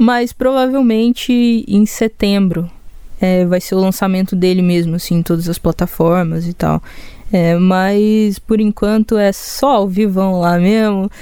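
A woman with a Goiás accent speaks at a fairly slow pace in a dark, mellow, medium-pitched voice. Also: ordinary pitch variation. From Goiânia, Brazil. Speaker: singer-songwriter. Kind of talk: casual interview chat. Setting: studio.

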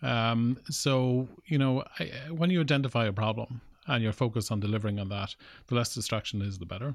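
A man with an Irish Midlands accent at a medium pitch and fairly quick pace, with ordinary pitch variation, on a very clean recording with a silent background. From Ireland, Cavan/Longford border (Granard). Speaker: tech startup founder. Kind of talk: interview. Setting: studio.

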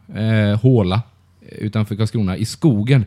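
Dark and mellow in tone, a man speaks at a moderate pace with ordinary pitch variation in a very clean recording with a silent background. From Blekinge, Sweden. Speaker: podcast co-host. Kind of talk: casual chat.

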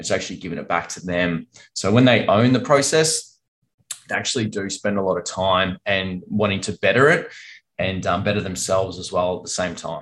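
An Australian-accented man speaks fairly quickly at a fairly low pitch, with ordinary pitch variation. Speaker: financial advisor. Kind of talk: casual business conversation. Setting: video call.

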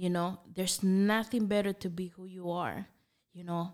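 Speaking in a Spanish accent, a woman keeps a medium pitch and a fairly even intonation. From Nicaragua. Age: 30s. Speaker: coffee business owner. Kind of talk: casual interview.

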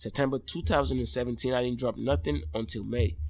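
The pitch of this man's voice swings very widely. He speaks at a moderate pace, and vocal fry comes through. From Nigeria. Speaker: Afrobeats musician. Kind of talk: casual interview.

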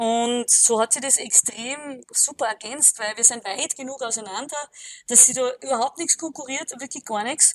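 A woman with a high voice talks at a moderate pace with ordinary pitch variation, in a dry, close sound with no echo. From Austria, Alpine region. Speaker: powerlifter and gym owner. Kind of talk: casual interview.

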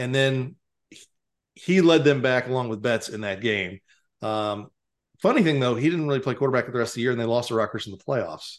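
This man has an unremarkable speaking voice at a medium pitch with ordinary pitch variation. He moves at a fairly quick pace over a quiet background. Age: 50s. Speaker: high school sports writer, podcast co-host. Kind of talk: casual sports chat. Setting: video call.

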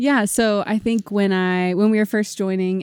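Fairly even intonation in a very clean recording with a silent background and a dry, close sound with no echo. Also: woman. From Missouri. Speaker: missionary. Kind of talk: casual chat.

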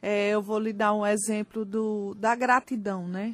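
A woman speaks very slowly with a Pernambuco accent, her fairly high voice captured in a very clean recording with a silent background. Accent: Pernambuco accent, noticeable. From Brazil, Recife (Pernambuco). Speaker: life coach. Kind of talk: radio interview. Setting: radio studio.

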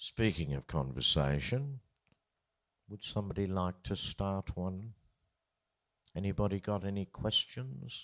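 Lively intonation marks this man's fairly low voice, with an Australian accent and long, frequent pauses. The recording is very clean, with a silent background. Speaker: festival interviewer, veteran folk musician. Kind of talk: interview on stage. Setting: live event with audience.

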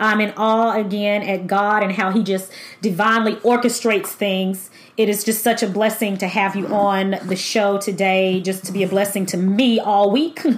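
Over noticeable background noise, a woman talks at a moderate pace. Her medium-pitched voice has an upbeat, warm tone. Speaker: podcast host. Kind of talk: podcast interview with scripted intro and outro. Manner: upbeat, warm, enthusiastic.

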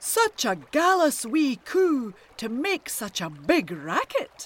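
Someone speaks in a put-on character voice at a high pitch and a very slow pace. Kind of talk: colloquial Scots. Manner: booming.

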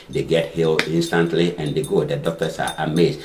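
A man with a very deep, low pitch talks at a fairly quick pace. There is noticeable background noise. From Africa. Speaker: fitness center owner. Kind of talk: casual panel discussion. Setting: studio. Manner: formal.

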